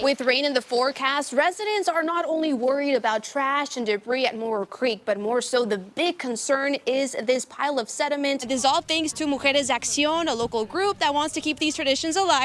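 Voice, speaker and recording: A high-pitched woman talks at a fairly quick pace with hardly any pauses and ordinary pitch variation, against noticeable background noise. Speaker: TV news anchor and reporter. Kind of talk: TV news read.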